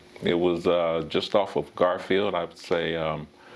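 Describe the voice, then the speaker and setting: Very slowly, a man talks in an American accent. His pitch is very deep and low. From US West, Pasadena, California. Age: 60s. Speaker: former baseball player. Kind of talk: interview. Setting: at his home. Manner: halting, with many fillers.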